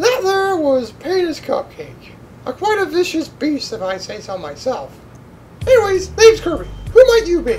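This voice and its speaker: Over clear background noise, a loud voice at an extremely high pitch speaks at a moderate pace. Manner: loud, brash, profane.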